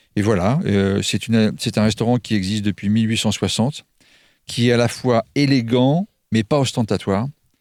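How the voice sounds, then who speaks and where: Using an ordinary speaking voice, a man of medium pitch talks at a moderate pace with very even loudness and ordinary pitch variation. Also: dry, close sound with no echo, very clean recording, silent background. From Normandy, France. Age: 50s. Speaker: restaurant chef. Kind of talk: radio interview.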